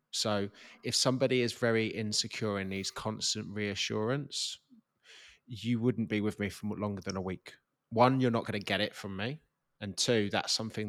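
Speaking at a fairly quick pace with ordinary pitch variation, a man with an English accent has a fairly low pitch, and the recording is very clean with a silent background. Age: 30s. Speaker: podcast co-host. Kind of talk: casual chat.

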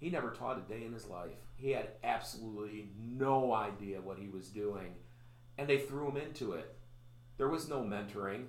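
A man's medium-pitched voice with a Chicago accent, ordinary pitch variation and a moderate pace, over noticeable background noise. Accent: Chicago-area American. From US Midwest, Chicago area. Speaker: pastor and podcast host. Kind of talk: casual interview.

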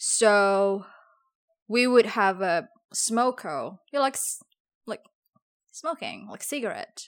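Lively intonation and big swings in loudness mark this very slow delivery, full of long, frequent pauses, in a very clean recording with a silent background. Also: woman, fairly high pitch for a woman. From Indonesia (Java). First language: Javanese. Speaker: podcast co-host, former English teacher. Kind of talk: casual chat.

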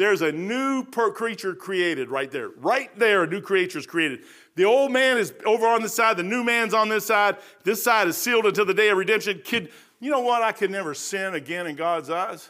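In a very clean recording with a silent background, a man projects a raised, high-pitched voice at a fairly quick pace. His tone is bright, sharp and animated, with lively intonation. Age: 60s. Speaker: lay preacher. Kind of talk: sermon. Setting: church.

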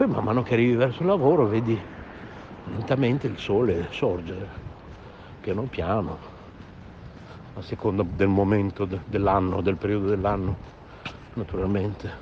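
Against noticeable background noise, a fairly low-pitched man speaks at a moderate pace with ordinary pitch variation and long, frequent pauses. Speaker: radio host. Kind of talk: casual chat. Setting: voice message recorded on phone.

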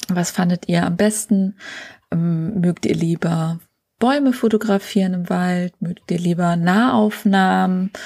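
A woman with a dark, mellow tone and medium pitch speaks at a very slow pace, somewhat breathy, in a dry, close sound with no echo. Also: ordinary pitch variation. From northern Germany, Schleswig-Holstein coast. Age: 40s. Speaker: photographer and podcast host. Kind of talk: solo podcast monologue.

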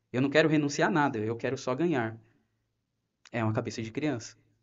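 Fairly high-pitched for a man, this is an unremarkable speaking voice. He keeps a moderate pace with ordinary pitch variation. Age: 30s. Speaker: ministry volunteer. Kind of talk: personal testimony.

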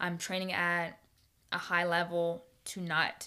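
On a very clean recording with a silent background, a woman speaks in a fairly low, bright, sharp voice with an animated tone. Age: 20s. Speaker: podcast host. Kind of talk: casual solo podcast monologue. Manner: fast talker; animated, laughs often.

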